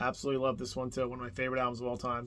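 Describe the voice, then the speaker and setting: This man talks at medium pitch with a New Jersey accent. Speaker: music YouTuber. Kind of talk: casual video monologue. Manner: casual, rambling with fillers.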